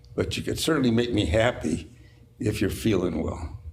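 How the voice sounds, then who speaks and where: The voice has an American accent and a fairly slow pace. Room echo can be heard. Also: man. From Utah. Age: 90s. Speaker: company owner. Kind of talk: casual interview chat.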